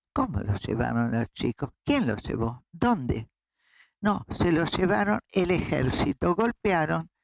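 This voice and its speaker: In a Rioplatense accent, a woman with a very deep, low voice and vocal fry makes very wide pitch swings at very even loudness, recorded in a dry, close sound with no echo. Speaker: human rights activist, founding grandmother of a search association; retired school director. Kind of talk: interview answer.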